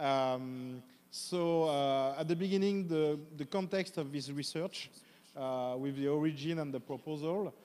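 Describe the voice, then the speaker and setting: This voice has a strong French accent and a dark, mellow tone, moving at a fairly slow pace with ordinary pitch variation. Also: man, fairly high pitch for a man. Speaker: professor, academic presenter. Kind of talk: academic presentation. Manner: halting, many fillers.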